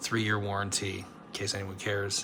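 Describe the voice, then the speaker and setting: This man speaks at a fairly quick pace in a fairly low pitch, with noticeable background noise behind him. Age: 40s. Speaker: vlogger. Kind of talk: casual video diary. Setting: at home.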